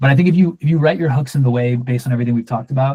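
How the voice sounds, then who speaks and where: A man's medium-pitched, somewhat breathy voice with a dark, mellow tone, ordinary pitch variation and a very fast pace, in a dry, close sound with no echo. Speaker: workshop instructor. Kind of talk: Q&A session in a workshop. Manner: casual, with many filler words and false starts.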